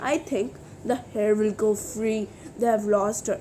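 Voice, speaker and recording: Over clear background noise, a woman uses a put-on character voice at fairly high pitch with fairly even intonation. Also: moderate pace. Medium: read story. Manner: gentle, instructive.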